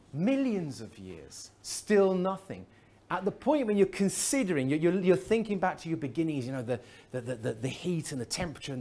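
The speech comes at a fairly quick pace with an English accent. Its intonation is lively. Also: man. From England. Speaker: chemist, conference speaker. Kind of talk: lecture. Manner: halting.

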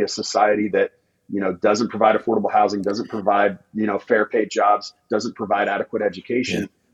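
A man with an American accent at a very fast pace, dry and close with no echo. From rural Indiana. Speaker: political candidate. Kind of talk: casual interview.

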